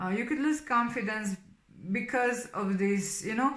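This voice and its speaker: With a Slovenian accent, a woman speaks with ordinary pitch variation. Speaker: tarot reader. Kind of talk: tarot reading monologue. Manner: hesitant, many fillers.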